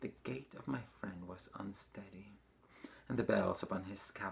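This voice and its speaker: Using lively intonation, a man speaks at a moderate pace in a fairly low voice with vocal fry. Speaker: dancer, actor, choreographer. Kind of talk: horror story reading.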